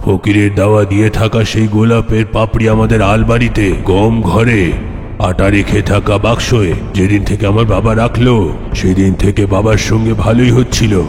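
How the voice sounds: A man performs a cartoonish character voice at a fairly low pitch and moderate pace. Loud background noise fills the recording.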